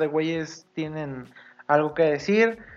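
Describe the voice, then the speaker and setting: With ordinary pitch variation, a man speaks in a plain, everyday voice. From Mexico, Sinaloa. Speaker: podcast co-host. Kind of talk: casual chat.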